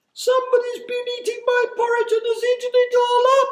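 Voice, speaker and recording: A put-on character voice sits at an extremely high pitch. It moves at a moderate pace with monotone, flat intonation. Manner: crying out.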